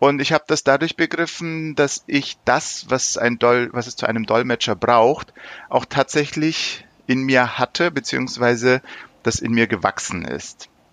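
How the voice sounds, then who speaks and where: A man's normal speaking voice at medium pitch, ordinary pitch variation, a fairly slow pace, dry and close with no echo. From Germany (born Istanbul, Turkish parents). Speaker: interpreter. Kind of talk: interview. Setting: remote call.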